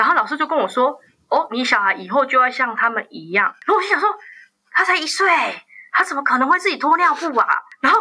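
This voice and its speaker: With a bright, sharp tone and a high pitch, a woman speaks at a very fast pace in a raised, projected voice, her pitch swinging very widely between long, frequent pauses. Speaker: journalist. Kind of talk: interview.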